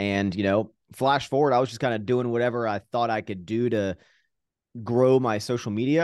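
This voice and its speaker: A man with an American accent speaks in an ordinary speaking voice at a moderate pace with ordinary pitch variation against a quiet background. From Virginia, US. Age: 30s. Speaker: fitness YouTuber and entrepreneur. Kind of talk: casual interview chat. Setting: remote video call.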